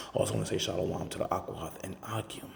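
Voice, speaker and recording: Soft-spoken, the voice moves at a fairly quick pace. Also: man. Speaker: religious commentator. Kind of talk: casual commentary. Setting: at work.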